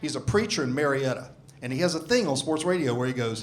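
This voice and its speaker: A man with a Southern US accent, fairly high pitch, very fast pace and lively intonation, with audible room echo. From US South. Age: 60s. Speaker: stand-up comedian. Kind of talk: stand-up. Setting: stage with audience.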